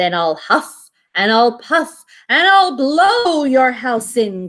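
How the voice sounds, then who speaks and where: Putting on a character voice, a woman growls in a high pitch with very wide pitch swings at a very slow pace. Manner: growling, menacing.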